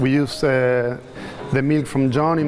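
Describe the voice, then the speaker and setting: A man with a non-native accent speaks over music in the background, with audible room echo. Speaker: chef, home restaurant owner. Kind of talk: speech to dinner guests. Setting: dinner event with guests. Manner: fast.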